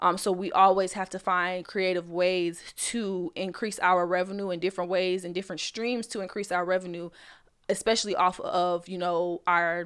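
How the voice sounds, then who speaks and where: An unremarkable speaking voice from a woman at medium pitch, moderate pace and fairly even intonation, in a very clean recording with a silent background. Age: 20s. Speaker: podcast host and influencer. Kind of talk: casual solo podcast talk.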